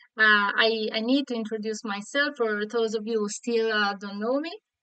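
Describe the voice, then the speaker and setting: With a Sardinian accent, a woman speaks at a fairly high pitch with fairly even intonation. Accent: Italian (Sardinian) accent in English. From Sardinia, Italy. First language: Italian. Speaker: online Italian teacher. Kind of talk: live online lesson. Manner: halting, many fillers.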